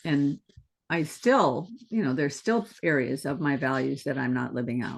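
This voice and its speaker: Vocal fry marks this voice, which moves at a fairly slow pace. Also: woman. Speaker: artist and channel creator. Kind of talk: casual conversation.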